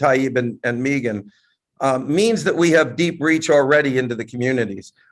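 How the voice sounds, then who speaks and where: A man with ordinary pitch variation talks at a moderate pace in a normal speaking voice. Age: 60s. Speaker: entrepreneur. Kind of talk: panel discussion on video call. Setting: video call.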